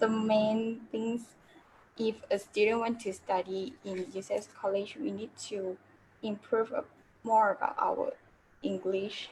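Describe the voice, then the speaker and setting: A woman with a Mandarin accent speaks at a fairly slow pace and fairly high pitch. Her voice is somewhat breathy, with fairly even intonation. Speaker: former student. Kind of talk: online panel discussion. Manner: halting.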